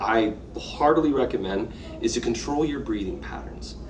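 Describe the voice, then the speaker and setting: A man's voice carries audible room echo, with noticeable background noise behind it. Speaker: co-host of a business podcast. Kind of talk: casual chat. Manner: animated.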